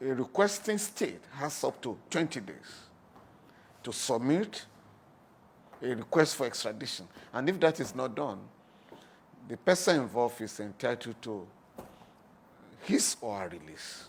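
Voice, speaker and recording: A man with medium pitch, very wide pitch swings, big swings in loudness, a fairly slow pace, and long, frequent pauses. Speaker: lawyer. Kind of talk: interview answer.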